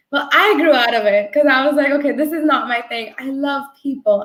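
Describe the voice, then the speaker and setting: A woman with a New Jersey accent, high-pitched, at a moderate pace with ordinary pitch variation. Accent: American English, New Jersey. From New Jersey, US (born in India). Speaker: agile coach. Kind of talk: interview. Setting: video call.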